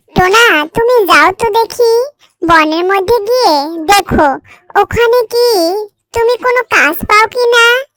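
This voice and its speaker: A woman performs a cartoonish character voice. Her pitch is extremely high. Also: fairly slow pace. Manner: warm, reassuring.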